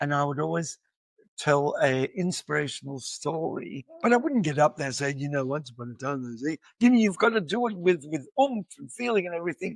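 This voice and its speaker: A man with an Australian accent talks fairly quickly at a fairly high pitch, his intonation lively. The sound is dry and close, with no echo. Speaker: educator and musician. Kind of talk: podcast interview.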